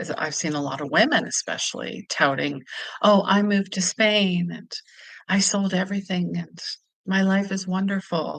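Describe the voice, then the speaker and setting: A woman speaks in a plain, everyday voice at a medium pitch, fairly slowly, with ordinary pitch variation. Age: 50s. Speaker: intuitive healer and travel vlogger. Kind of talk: casual livestream talk to camera.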